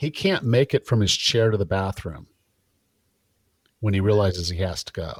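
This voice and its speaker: In a very clean recording with a silent background and a dry, close sound with no echo, a man with fairly low pitch speaks at a moderate pace, somewhat breathy, with ordinary pitch variation and long, frequent pauses. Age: 50s. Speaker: personal trainer and fitness podcast host. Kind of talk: casual interview chat.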